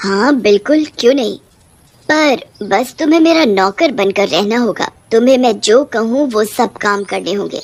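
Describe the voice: Fairly high-pitched put-on character voice from a woman, moderate in pace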